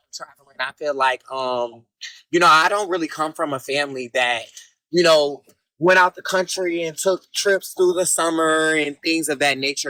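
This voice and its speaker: A man with a fairly high pitch speaks at a moderate pace, with a bright, sharp tone, ordinary pitch variation, and a dry, close sound with no echo. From US South, Jacksonville, Florida. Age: 20s. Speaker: reality TV personality. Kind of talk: interview. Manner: relaxed, many fillers.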